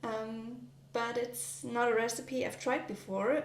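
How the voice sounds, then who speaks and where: A woman with a German accent speaks at a fairly high pitch. Audible room echo and noticeable background noise surround her. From Germany. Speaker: vlogger. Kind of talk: casual vlog narration while baking. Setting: home kitchen. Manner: hesitant, many fillers.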